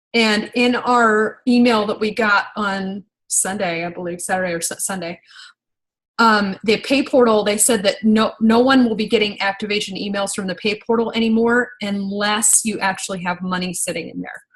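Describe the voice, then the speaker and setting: The speaker is a woman with a medium pitch. Her voice is somewhat breathy. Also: fairly even intonation, moderate pace. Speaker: network marketing team leader. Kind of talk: training call. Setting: video call. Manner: hesitant, many fillers.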